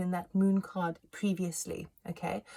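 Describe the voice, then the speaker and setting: A woman speaks in a dark, mellow tone that comes across somewhat breathy. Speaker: tarot reader. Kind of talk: tarot reading monologue. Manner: fast; animated.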